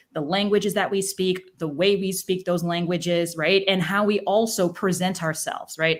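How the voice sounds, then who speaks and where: The voice moves at a moderate pace with hardly any pauses, its intonation monotone and flat. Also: woman, medium pitch for a woman. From mixed US and Ghanaian background. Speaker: executive and leadership coach. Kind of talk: interview on live stream.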